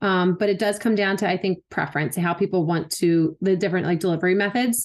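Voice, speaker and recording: Against a quiet background, a woman with an American accent speaks in an unremarkable speaking voice with ordinary pitch variation. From Philadelphia. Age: 30s. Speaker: wellness enthusiast and CBD advocate. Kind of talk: casual interview chat.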